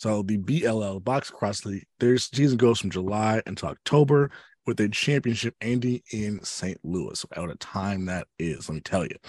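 In a very clean recording with a silent background, a man with an ordinary speaking voice talks at a moderate pace, his fairly low pitch carrying lively intonation in a dry, close sound with no echo. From Chicago south suburbs, Illinois. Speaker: podcast co-host. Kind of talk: casual chat.

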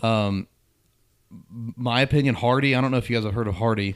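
Over a silent background in a very clean recording, a man has a normal speaking voice, a fairly quick pace and fairly even intonation. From southwest Ohio, near Middletown. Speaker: country music singer-songwriter. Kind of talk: casual chat.

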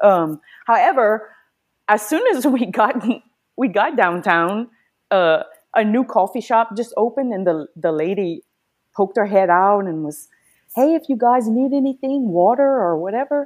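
A woman speaks at a moderate pace with a fairly high pitch and lively intonation. She takes long, frequent pauses in a very clean recording with a silent background. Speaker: guest, video subject.

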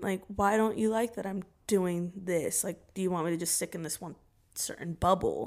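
An unremarkable speaking voice belongs to a woman with an American accent and a medium pitch. She talks at a moderate pace with fairly even intonation. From Oregon, US. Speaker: TikTok creator. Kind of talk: casual chat.

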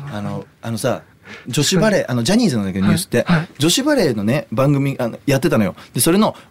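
Talking at a very fast pace, a man with a fairly high voice swings very widely in pitch. There is noticeable background noise. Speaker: singer-songwriter and podcast host. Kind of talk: casual chat. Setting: studio.

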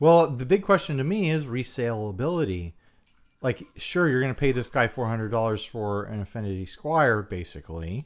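A man's medium-pitched voice with very wide pitch swings at a moderate pace, on a very clean recording with a silent background. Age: 30s. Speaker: gear podcast co-host, musician. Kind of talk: casual chat. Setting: home garage.

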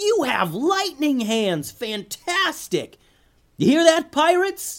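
A man shouts in a put-on character voice, extremely high-pitched with big pitch swings and a fairly bright tone. His pace is slow.

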